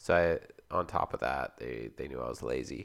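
A man is speaking. His voice carries vocal fry. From Canada (Alberta, Ontario). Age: 20s. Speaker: podcast co-host. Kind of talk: casual chat.

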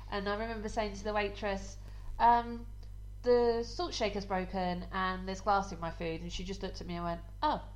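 A woman at a moderate pace, with audible room echo. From Essex, England. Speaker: podcast co-host. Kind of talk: casual chat.

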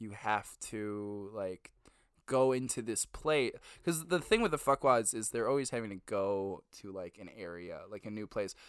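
A man with a normal speaking voice, fairly low pitch, ordinary pitch variation, moderate pace and big swings in loudness, on a very clean recording with a silent background. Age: 20s. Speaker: podcast co-host. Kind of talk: casual chat. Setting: home basement recording.

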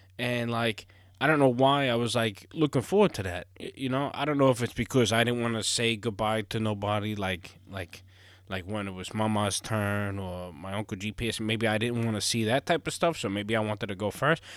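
Recorded very cleanly over a silent background, a man speaks at a fairly quick pace and medium pitch with ordinary pitch variation. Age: 30s. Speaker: podcast host and gaming streamer. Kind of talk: casual solo monologue.

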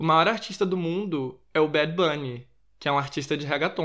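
A man talks at a fairly quick pace with ordinary pitch variation. He has an ordinary speaking voice. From Rio de Janeiro, Brazil. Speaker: podcast host. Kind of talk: casual pop culture commentary.

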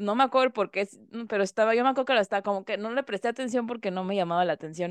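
Against a quiet background, a woman talks at a very fast pace with lively intonation in a dry, close sound with no echo. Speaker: podcast co-host. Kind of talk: casual chat.

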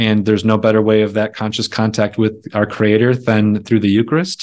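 A man with an American accent talks at a fairly quick pace in a fairly low pitch, on a very clean recording with a silent background. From rural Wisconsin. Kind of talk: casual interview.

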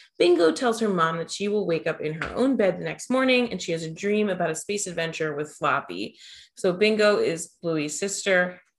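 A woman's voice at medium pitch, with a moderate pace and ordinary pitch variation. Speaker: podcast host. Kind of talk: casual chat. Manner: animated.

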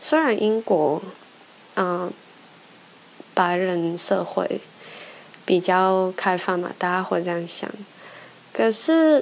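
A woman speaks at medium pitch and a very slow pace, with ordinary pitch variation. Long, frequent pauses and noticeable background noise fill the clip. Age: 20s. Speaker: podcast host. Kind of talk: personal monologue. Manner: halting, many fillers.

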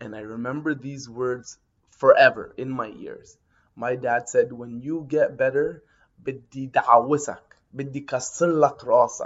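In an ordinary speaking voice, a man talks at a fairly slow pace. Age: 30s. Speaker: storyteller. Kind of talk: personal storytelling monologue.

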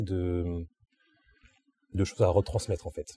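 A man speaks with a dark, mellow tone at a moderate pace. His voice is somewhat breathy, and the sound is dry and close with no echo. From southern France, Antibes. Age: 20s. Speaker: graphic artist. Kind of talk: interview. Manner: hesitant with fillers.

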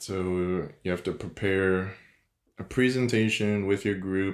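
This soft-spoken man has a very deep, low pitch. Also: very clean recording, silent background. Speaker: podcast host. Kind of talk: solo podcast monologue, motivational talk. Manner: formerly monotone and soft-spoken, now working to be more dynamic.

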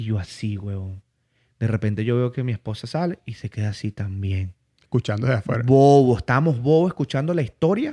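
Speaking at a fairly quick pace in a Venezuelan Llanos accent, a man with medium pitch and a dark, mellow tone uses lively intonation, in a dry, close sound with no echo over a quiet background. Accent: Venezuelan Spanish (llanero). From Venezuela, Barinas (llanos region). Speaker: comedian and interviewer. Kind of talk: casual chat. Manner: animated.

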